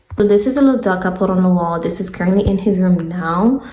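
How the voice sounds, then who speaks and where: A woman talking at a very fast pace, with audible room echo and noticeable background noise. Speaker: home decor vlogger. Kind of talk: casual vlog narration. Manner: casual, chatty.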